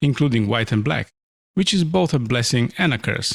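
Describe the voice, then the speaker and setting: A man with a medium pitch talks at a fairly quick pace in a relaxed tone, with lively intonation and vocal fry. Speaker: illustrator. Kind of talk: narrated art time-lapse commentary. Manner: relaxed, explanatory.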